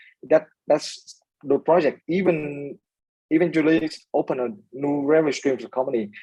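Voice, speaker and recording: At a moderate pace, a man with a Vietnamese accent speaks with fairly even intonation and a fairly high pitch in a dark, mellow tone. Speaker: startup founder. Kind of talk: interview. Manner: hesitant, many fillers.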